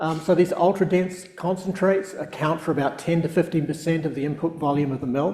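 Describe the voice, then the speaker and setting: A fairly quick delivery in a southern New Zealand accent, with audible room echo. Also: man. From New Zealand, South Island. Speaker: professor and research scientist. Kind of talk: public lecture. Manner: hesitant, many fillers.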